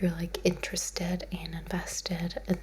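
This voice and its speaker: Soft-spoken and relaxed in tone, a woman talks at a fairly slow pace. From lived in the Netherlands. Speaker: ASMR creator. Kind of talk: ASMR soft-spoken ramble. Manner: soft-spoken, relaxed.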